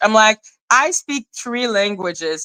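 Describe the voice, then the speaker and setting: In a French accent, a woman talks fairly slowly at a fairly high pitch, her bright, sharp tone animated and her pitch varying in an ordinary way, recorded dry and close with no echo. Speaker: YouTube live streamer, commentator. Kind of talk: casual livestream chat.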